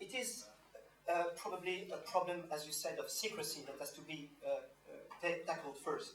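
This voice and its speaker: A French accent at a moderate pace, with audible room echo. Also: man. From France (Normandy). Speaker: activist panelist. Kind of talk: panel speech. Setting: panel with audience. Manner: halting.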